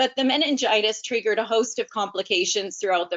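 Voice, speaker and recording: With lively intonation, a woman speaks at a fairly high pitch. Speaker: educator and webinar presenter. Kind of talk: webinar presentation. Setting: webinar.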